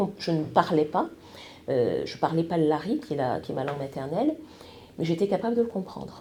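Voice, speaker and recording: A woman's dark, mellow, somewhat breathy voice moves through very wide pitch swings. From France and Congo-Brazzaville. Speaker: TV news presenter. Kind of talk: podcast interview. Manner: hesitant, many fillers.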